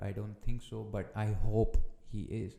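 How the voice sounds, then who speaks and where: In a fairly low pitch, a man speaks with a dark, mellow tone and monotone, flat intonation. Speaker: football podcaster. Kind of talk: casual podcast monologue. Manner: slow; halting, with restarts.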